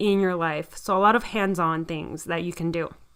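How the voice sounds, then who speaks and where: Recorded very cleanly against a silent background, a woman with an American accent has a bright, sharp tone. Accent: Miami accent, noticeable to some. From US South, Miami, Florida. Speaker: podcast host, occupational therapist, health coach. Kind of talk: solo podcast talk. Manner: enthusiastic.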